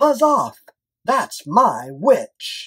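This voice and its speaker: In a put-on character voice, the speaker growls in a croaky, shrill tone, raised and projected. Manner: gruff, confrontational.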